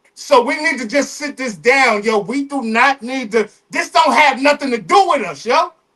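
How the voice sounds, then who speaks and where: Using a raised, projected voice, a man speaks at an extremely high pitch with hardly any pauses. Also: ordinary pitch variation, moderate pace. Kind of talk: casual chat. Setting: livestream. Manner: animated.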